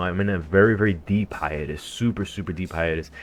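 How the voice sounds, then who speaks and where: Against a quiet background, a man with an American accent uses a normal speaking voice, fairly low in pitch, at a moderate pace. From United States. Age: 30s. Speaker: gaming streamer and breakdancer. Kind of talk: live stream chat. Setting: live stream. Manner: casual, filler-heavy.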